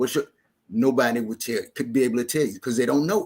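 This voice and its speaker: This man talks at a very fast pace, his medium pitch showing ordinary pitch variation. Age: 70s. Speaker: percussionist. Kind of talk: interview.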